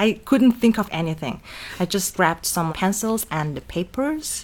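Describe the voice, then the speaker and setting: A woman speaks in a Mongolian accent. Her intonation is lively. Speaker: art teacher and fashion designer. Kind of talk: interview.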